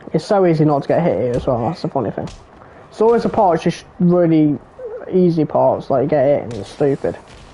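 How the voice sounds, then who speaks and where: Fairly quick female speech, very deep and low in pitch, with lively intonation and noticeable background noise. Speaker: gaming streamer. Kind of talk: casual gameplay commentary.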